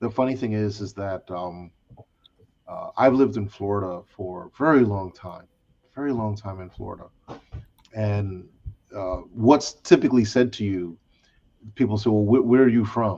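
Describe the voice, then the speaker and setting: A man with a strong New York accent talks at a moderate pace with long, frequent pauses. His fairly low voice has a dark, mellow tone, ordinary pitch variation and big swings in loudness. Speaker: discussion panel host. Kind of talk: casual chat.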